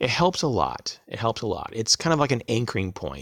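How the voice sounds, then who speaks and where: A man's medium-pitched voice with vocal fry and lively intonation, dry and close with no echo, in a very clean recording with a silent background. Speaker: prepping channel creator. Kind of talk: tutorial.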